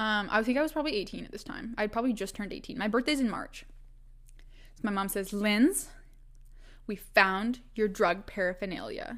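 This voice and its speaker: A woman with a western Canadian accent speaks at a fairly quick pace in a fairly high voice. Her tone is animated, with ordinary pitch variation. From Canada, Vancouver Island, British Columbia. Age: 20s. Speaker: podcast host. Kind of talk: casual storytelling monologue. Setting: solo recording at a microphone. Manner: animated, laughing often.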